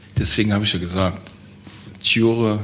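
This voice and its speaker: A man's fairly low-pitched, monotone voice with flat intonation, at a moderate pace, with audible room echo. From Germany, Trier region. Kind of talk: interview.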